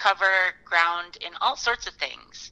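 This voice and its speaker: A woman's bright, sharp voice with an Upper Midwest accent. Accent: Upper Midwest American. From Fargo, North Dakota. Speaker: professional musician. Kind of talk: casual interview.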